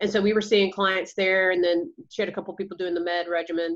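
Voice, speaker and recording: A woman with a strong Georgia accent, very fast pace, flat monotone intonation and a quiet background. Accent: Georgia Southern accent, strong. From US South, Georgia. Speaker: counselor and practice owner. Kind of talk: interview.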